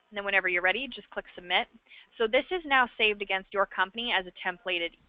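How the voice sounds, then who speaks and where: Her pace very fast, a woman talks at a medium pitch with ordinary pitch variation and big swings in loudness. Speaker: software trainer. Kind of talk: webinar tutorial. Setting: online webinar.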